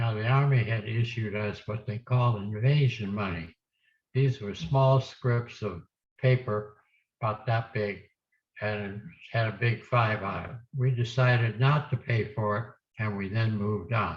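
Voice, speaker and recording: A somewhat breathy man speaks at a fairly slow pace with fairly even intonation. The background is quiet. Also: medium pitch for a man. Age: 80s+. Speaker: war veteran. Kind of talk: oral history talk to students.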